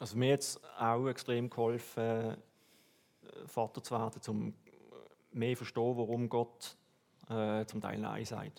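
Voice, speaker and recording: A man's flat, monotone delivery in a Swiss accent, broken by long, frequent pauses. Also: medium pitch for a man, fairly slow pace. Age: 40s. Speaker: church member, customs officer. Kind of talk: testimony.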